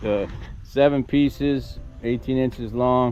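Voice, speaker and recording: A man speaks with music in the background. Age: 60s. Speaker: farm vlogger doing DIY construction. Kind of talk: casual vlog narration while working. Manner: halting, with many fillers and repeats.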